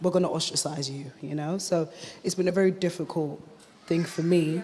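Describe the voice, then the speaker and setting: With a British accent, a woman with a fairly low pitch speaks at a fairly quick pace with ordinary pitch variation over light background noise. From UK, Ghanaian family. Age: 20s. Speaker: mother sharing experience. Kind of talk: testimony. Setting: stage with audience. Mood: earnest, reflective. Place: hall. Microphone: handheld.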